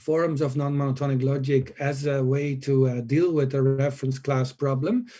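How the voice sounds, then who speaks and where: The voice is somewhat breathy, with a dark, mellow tone and a moderate pace. Its intonation is monotone and flat, and its loudness is very even. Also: man, fairly high pitch for a man. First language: not English. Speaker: conference panelist. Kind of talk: conference Q&A answers. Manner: hesitant, many filler uhs.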